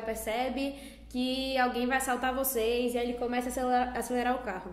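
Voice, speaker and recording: High-pitched woman at a fairly quick pace, amid noticeable background noise and audible room echo. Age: 20s. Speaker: psychology student. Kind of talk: casual chat.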